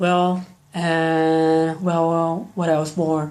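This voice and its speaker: This man speaks. His voice sits high in pitch. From Brazil. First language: Brazilian Portuguese. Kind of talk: casual talk to camera, game opinion video. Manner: nervous, hesitant.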